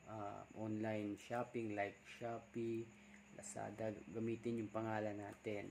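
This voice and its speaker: A soft-spoken man talks at a fairly slow pace. His intonation is monotone and flat. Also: fairly low pitch for a man. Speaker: vlogger. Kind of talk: casual vlog talk. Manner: soft-spoken, deliberately quiet.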